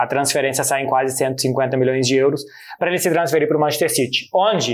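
Speaking at a fairly quick pace, a man with a Brazilian accent keeps his intonation fairly even. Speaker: football journalist. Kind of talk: casual explainer chat.

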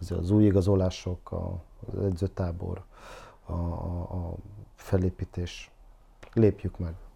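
Very deep and low, a man's somewhat breathy voice with a dark, mellow tone moves at a very slow pace with monotone, flat intonation and long, frequent pauses. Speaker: football analyst guest. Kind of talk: casual discussion. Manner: halting, filler-heavy.

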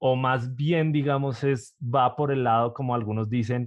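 In an unremarkable speaking voice, a man at a medium pitch talks at a fairly slow pace with fairly even intonation. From Colombia, Bogotá. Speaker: podcast host. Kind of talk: interview.

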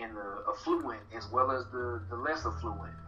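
There is noticeable noise behind the speaker. He is a man talking at a moderate pace. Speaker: guest, political organizer. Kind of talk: casual interview conversation.

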